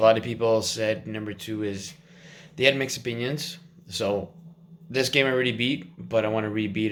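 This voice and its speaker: Through audible room echo, a man talks at a fairly quick pace with ordinary pitch variation and big swings in loudness. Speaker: fitness vlogger. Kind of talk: casual vlog.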